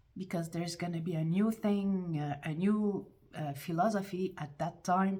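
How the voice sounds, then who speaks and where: A woman with a French accent speaks fairly slowly in a dark, mellow, somewhat breathy voice pitched fairly low. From France. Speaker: YouTuber. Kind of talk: casual monologue vlog. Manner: halting, with repetitions and restarts; animated.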